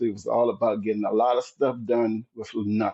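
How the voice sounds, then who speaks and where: A man with a slight Southern US accent talks at a moderate pace. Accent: slight Southern twang. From US South, rural southern Virginia (Dinwiddie County). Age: 60s. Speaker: marathon runner and retired military. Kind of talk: casual interview chat. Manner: animated, upbeat.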